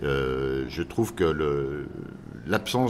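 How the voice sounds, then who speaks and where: A man speaks with lively intonation and vocal fry. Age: 60s. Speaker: interviewee. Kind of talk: radio interview.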